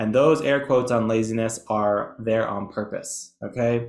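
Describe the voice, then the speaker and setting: A man at medium pitch with ordinary pitch variation. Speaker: educational presenter. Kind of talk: webinar lecture. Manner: fast.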